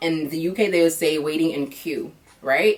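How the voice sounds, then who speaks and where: Moderate pace from a woman with a fairly low pitch, ordinary pitch variation, and noticeable background noise behind her. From United States. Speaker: vlogger. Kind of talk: casual vlog monologue. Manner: casual, filler-heavy; switches between English and non-native French.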